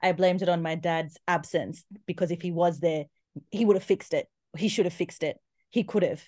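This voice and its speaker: The speaker talks at a fairly quick pace with an Australian accent. The intonation stays fairly even. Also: woman, fairly low pitch for a woman. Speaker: guest speaking about trauma. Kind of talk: interview.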